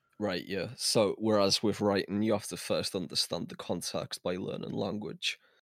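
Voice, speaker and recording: A man talks at a moderate pace with hardly any pauses. The sound is dry and close with no echo, on a very clean recording with a silent background. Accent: Liverpool. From Liverpool, England. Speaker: music producer. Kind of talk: casual interview.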